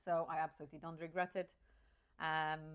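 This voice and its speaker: This woman has a Polish accent. Her pitch is very deep and low. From rural Poland. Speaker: career coach. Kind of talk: personal story monologue. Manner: hesitant, with fillers and restarts.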